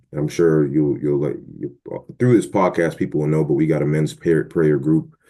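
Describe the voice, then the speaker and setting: A man with an American accent speaks at a moderate pace. His very deep, low voice has a dark, mellow tone. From Boston, Massachusetts. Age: 30s. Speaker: podcast guest. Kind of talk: casual chat.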